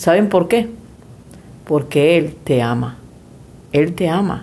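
Her pace is very slow. The woman's pitch sits fairly low. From Venezuela. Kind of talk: casual faith chat.

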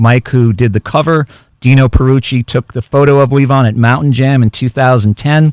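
A man talks in an unremarkable speaking voice with fairly even intonation. The sound is dry and close, with no echo. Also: medium pitch for a man, moderate pace. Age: 50s. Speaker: author and journalist. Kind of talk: radio interview. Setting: radio studio.

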